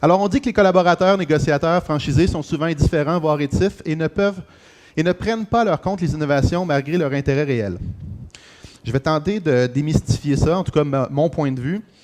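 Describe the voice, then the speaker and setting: A man with a Quebec accent speaks at a fairly quick pace, his pitch fairly high. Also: ordinary pitch variation. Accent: Québécois French. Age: 40s. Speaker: real estate franchise executive. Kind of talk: conference talk. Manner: halting with many fillers.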